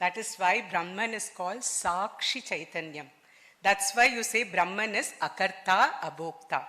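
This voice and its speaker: Speaking with a Telugu accent, a woman has a bright, sharp tone at medium pitch. Her pitch variation is ordinary and her pace moderate. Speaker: engineer and quantum physicist, conference speaker. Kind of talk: conference talk. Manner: formal.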